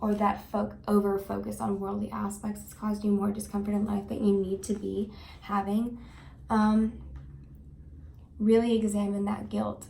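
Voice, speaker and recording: A woman speaks at a moderate pace, leaving long, frequent pauses. Room echo is audible. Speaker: tarot card reader. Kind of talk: tarot reading to camera. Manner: halting, with fillers and restarts.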